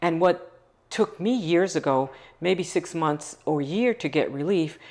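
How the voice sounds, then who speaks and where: With an unremarkable speaking voice, a woman speaks at a fairly slow pace in a fairly low pitch with ordinary pitch variation over a quiet background. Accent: American. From Long Island, New York. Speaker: nonprofit founder. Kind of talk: interview.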